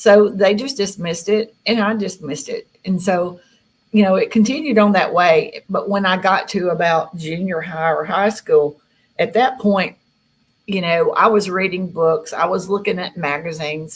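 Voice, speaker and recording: Speaking with a Southern US accent, a woman uses a somewhat breathy voice at medium pitch, ordinary pitch variation and a moderate pace. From Tennessee. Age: 60s. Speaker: contactee. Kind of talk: interview.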